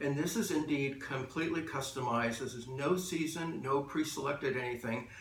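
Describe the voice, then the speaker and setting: With audible room echo and noticeable background noise, the talking proceeds at a moderate tempo. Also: man. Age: 60s. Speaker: color and style consultant. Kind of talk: explainer monologue to camera. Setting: office. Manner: measured, with frequent uh and um fillers.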